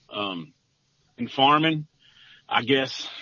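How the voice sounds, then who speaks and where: At a fairly slow pace, a man with an Arkansas accent speaks at a medium pitch. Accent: Southern US (Arkansas). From US South, northeast Arkansas. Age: 50s. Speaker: farmer. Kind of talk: testimony. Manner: halting.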